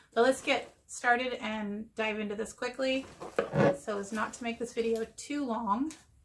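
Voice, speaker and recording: There is noticeable background noise behind a woman's fairly high-pitched voice. She talks at a moderate pace with ordinary pitch variation. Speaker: YouTube haul vlogger. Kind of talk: casual show-and-tell haul video. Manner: chatty.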